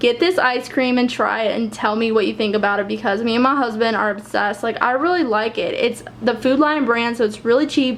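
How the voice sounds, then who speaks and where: A high-pitched woman at a fairly quick pace, with ordinary pitch variation and noticeable background noise. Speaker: lifestyle vlogger. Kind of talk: casual vlog haul. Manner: fast.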